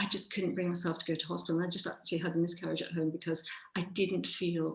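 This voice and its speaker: The woman's fairly low voice carries vocal fry and a monotone, flat intonation. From England, Birmingham. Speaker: writer. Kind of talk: video call conversation. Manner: fast.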